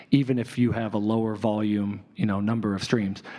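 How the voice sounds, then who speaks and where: A man with an unremarkable speaking voice talks at a medium pitch and a moderate pace with fairly even intonation. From Chicago south suburbs. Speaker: advertising music director. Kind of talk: live panel discussion.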